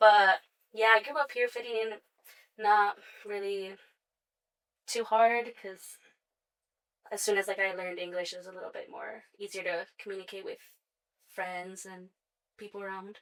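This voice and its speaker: Pausing long and often, a woman speaks at a moderate pace with medium pitch and fairly even intonation. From Sioux Falls, South Dakota, US (born El Salvador, moved at 6). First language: Spanish. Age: 20s. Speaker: makeup artist and hair stylist. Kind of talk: interview.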